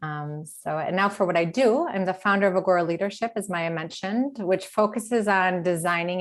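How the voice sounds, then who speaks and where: A woman with an American accent, an ordinary speaking voice, ordinary pitch variation and a fairly quick pace against a quiet background. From US Midwest, Detroit, Michigan. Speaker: leadership coach. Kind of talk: webinar talk.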